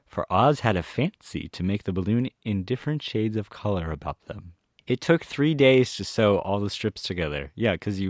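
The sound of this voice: Lively intonation runs through an unforced reading voice over a quiet background.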